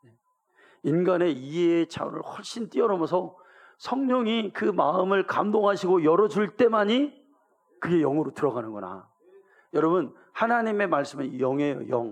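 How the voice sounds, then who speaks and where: A man with a Gyeongsang accent talks at a moderate pace in a high voice, with very wide pitch swings and big swings in loudness. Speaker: pastor. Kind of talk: sermon. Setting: church.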